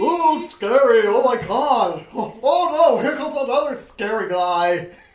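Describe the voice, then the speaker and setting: Doing a put-on character voice, a man speaks at a moderate pace with an extremely high pitch. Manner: mock-scared, exaggerated.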